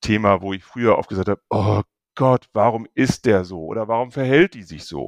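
A man is speaking. The recording is very clean and silent behind him, with a dry, close sound and no echo. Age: 50s. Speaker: public sector department head. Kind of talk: casual interview. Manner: hesitant, many fillers.

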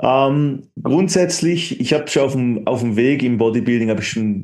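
The tone is dark and mellow. Delivery comes at a fairly quick pace. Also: man. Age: 20s. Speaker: health and fitness coach. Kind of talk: interview.

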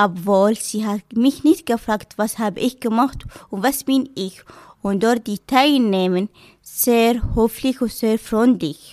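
A woman's fairly high voice in a non-native accent, at a very slow pace with ordinary pitch variation. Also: very clean recording, silent background. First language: not German (speaking German). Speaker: cosmetics apprentice applicant. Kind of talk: personal testimony.

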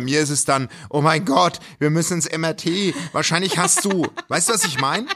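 On a very clean recording with a silent background, a man with a fairly high pitch and a bright, sharp tone talks at a moderate pace with ordinary pitch variation. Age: 40s. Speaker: television worker and podcaster. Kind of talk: casual chat.

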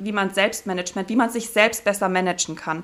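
A woman uses a plain, everyday voice at medium pitch with fairly even intonation. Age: 30s. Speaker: diving instructor and business mentor. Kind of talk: casual interview.

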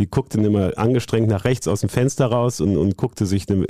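A man speaks at a moderate pace with ordinary pitch variation, his voice dry and close with no echo. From Rhineland, Bonn. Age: 60s. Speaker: sports journalist. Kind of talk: storytelling interview. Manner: hesitant fillers (ähm).

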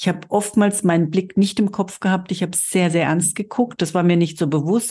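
A woman speaks in a dark, mellow tone at a fairly low pitch against a quiet background. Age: 50s. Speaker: podcast host and cosmetics sales trainer. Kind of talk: solo podcast monologue. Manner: animated.

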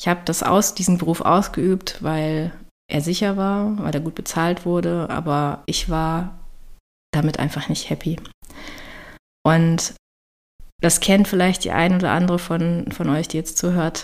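Speaking at a fairly slow pace, a woman holds a fairly low pitch and fairly even intonation, with long, frequent pauses. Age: 30s. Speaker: health coach and podcast host. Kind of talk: solo podcast monologue. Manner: casual, chatty.

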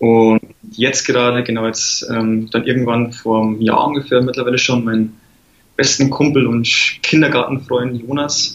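A man delivers his words in a flat monotone at a moderate speed. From Lower Bavaria, Germany. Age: 20s. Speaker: app startup founder. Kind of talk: interview.

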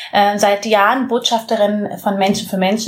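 Against noticeable background noise, a woman with a fairly high pitch speaks at a moderate pace in a monotone, flat intonation. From Bavaria, Munich area. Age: 20s. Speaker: social entrepreneur, former model. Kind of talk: interview. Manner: halting.

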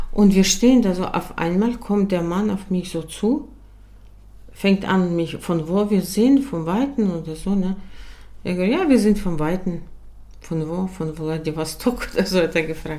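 A woman's medium-pitched voice, dark and mellow in tone, rises and falls with ordinary variation. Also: fairly slow pace. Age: 60s. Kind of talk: casual faith conversation, testimony.

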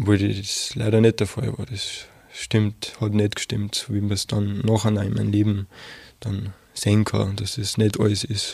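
Somewhat breathy and fairly low in pitch, a man speaks at a moderate pace. His intonation stays monotone and flat. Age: 20s. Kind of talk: interview testimony. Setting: studio.

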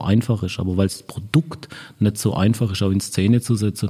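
Somewhat breathy and dark, mellow in tone, a man speaks at a moderate pace and fairly low pitch with ordinary pitch variation. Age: 50s. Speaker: marketing director. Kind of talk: interview. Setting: in person at an agency office.

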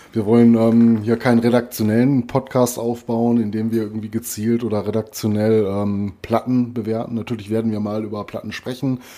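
A man's medium-pitched voice, dark and mellow in tone, at a moderate pace with monotone, flat intonation and hardly any pauses. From Ruhr area, Germany. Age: 40s. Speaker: metal podcast co-host. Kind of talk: casual chat.

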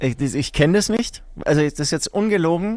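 A man speaks at a fairly quick pace in a high pitch, with ordinary pitch variation. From Franconia, Bavaria (Herzogenaurach). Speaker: rock musician. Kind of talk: casual chat.

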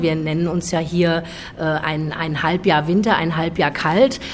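Noticeable background noise runs beneath speech delivered at a moderate pace. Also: woman. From Frankfurt, Germany. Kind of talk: interview.

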